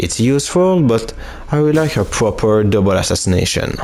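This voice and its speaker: A man at a moderate pace with lively intonation, noticeable background noise behind him. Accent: non-native. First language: not English. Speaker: gaming youtuber. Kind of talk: let's play commentary. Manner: halting.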